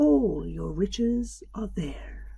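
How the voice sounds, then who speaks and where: A soft-spoken, whispering delivery. The voice is a put-on character voice. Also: woman. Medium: read story. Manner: soft, whispering.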